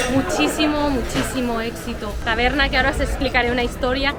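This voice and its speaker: Over crowd noise and audible room echo, a woman talks at a moderate pace in a high pitch with ordinary pitch variation. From Catalonia, Spain (Vilassar de Mar). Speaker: travel vlogger. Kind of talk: casual travel vlog chat. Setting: outdoors at a tavern. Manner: animated.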